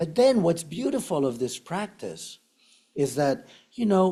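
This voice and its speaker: Speaking in an Argentine accent, a man uses a high pitch with very wide swings, a dark, mellow tone and a fairly slow pace. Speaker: meditation teacher. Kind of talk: dharma talk. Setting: meditation center with audience and online viewers.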